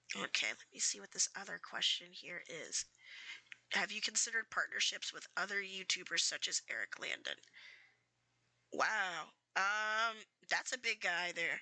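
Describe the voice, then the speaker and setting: A woman with a fairly high pitch and a bright, sharp tone at a moderate pace. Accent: American. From US Mid-Atlantic (DC/Maryland/Virginia area). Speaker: streamer. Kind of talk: casual chat. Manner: halting.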